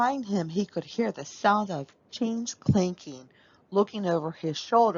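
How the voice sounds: A natural reading voice is heard throughout.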